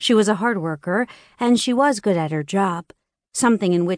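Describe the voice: Over a quiet background comes plain reading aloud.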